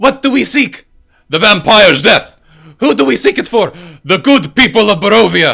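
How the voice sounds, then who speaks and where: A man puts on a shrill character voice, high in pitch, delivered at a moderate pace. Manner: shrieking.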